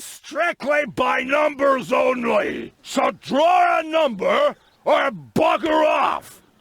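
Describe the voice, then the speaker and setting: Shouting in a put-on character voice, a man speaks at a very slow pace with an extremely high pitch. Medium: video game.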